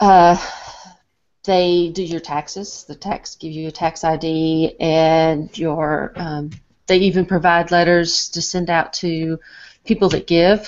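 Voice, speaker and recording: A woman with a Southern US accent, a fairly low pitch, monotone, flat intonation, a very slow pace and big swings in loudness against a quiet background. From US South. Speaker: nonprofit founder. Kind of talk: casual conversational question. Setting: video call. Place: home room. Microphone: video call.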